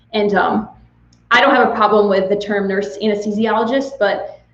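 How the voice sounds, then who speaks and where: A woman speaks in a monotone with flat intonation. Audible room echo and noticeable background noise fill the recording. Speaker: nurse anesthetist. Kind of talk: live Q&A chat. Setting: livestream. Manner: fast.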